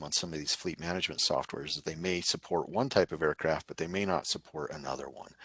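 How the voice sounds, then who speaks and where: A man's very deep, low voice with vocal fry and a bright, sharp tone, at a very fast pace with ordinary pitch variation, in a dry, close sound with no echo. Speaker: drone program presenter. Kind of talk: conference presentation.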